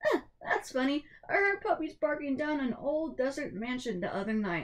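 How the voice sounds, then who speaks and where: Pitched high, a put-on character voice comes from a woman. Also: moderate pace. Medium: read story.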